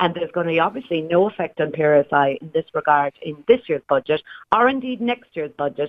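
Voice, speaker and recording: Talking at a fairly quick pace, a woman with an Irish accent uses lively intonation and big swings in loudness at a fairly low pitch. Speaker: pensions broker. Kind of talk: radio interview. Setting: phone call.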